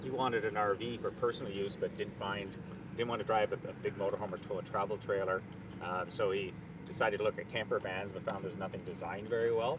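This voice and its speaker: Very fast speech from a man with a Canadian accent, fairly low pitch and ordinary pitch variation, over noticeable background noise. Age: 60s. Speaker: company executive. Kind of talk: casual interview.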